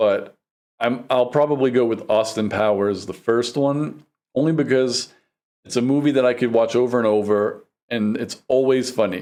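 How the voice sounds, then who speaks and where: With a New York accent, a man speaks at a moderate pace and medium pitch, with a dark, mellow tone and ordinary pitch variation. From New York City, the Bronx. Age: 40s. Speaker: vlogger. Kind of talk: casual vlog monologue.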